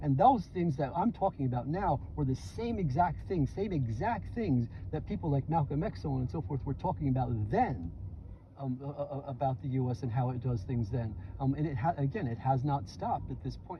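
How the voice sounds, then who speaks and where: A man with a New York accent, medium pitch and very wide pitch swings at a fairly quick pace, over noticeable background noise. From US Northeast, New York City (Bronx). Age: 60s. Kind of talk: casual chat. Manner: halting, many repeated words; animated.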